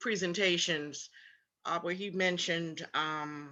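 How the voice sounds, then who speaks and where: Speaking at a very slow pace in a South Carolina Lowcountry accent, a woman has a fairly low pitch and a bright, sharp tone. Her intonation stays fairly even, and the background is quiet. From Charleston, South Carolina (Gullah Geechee area). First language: Gullah. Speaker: tour guide and cultural presenter. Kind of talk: symposium Q&A answer.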